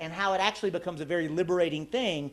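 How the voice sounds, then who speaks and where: A man with a Texan accent, animated in tone, over noticeable background noise. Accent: Texan American English. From Texas. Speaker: activist speaker, former presidential candidate. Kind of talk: public talk.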